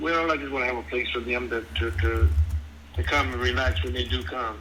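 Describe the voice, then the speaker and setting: A man with a very deep, low pitch and a bright, sharp tone talks at a fairly quick pace, his pitch swinging very widely, with vocal fry and audible room echo. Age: 70s. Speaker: prospective home buyer. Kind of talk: phone conversation. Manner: halting, repeats words.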